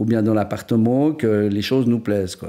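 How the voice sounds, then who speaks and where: This man's voice has a dark, mellow quality. The audio is very clean, and nothing can be heard behind him. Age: 60s. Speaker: painter-decorator. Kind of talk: interview. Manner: hesitant, many fillers.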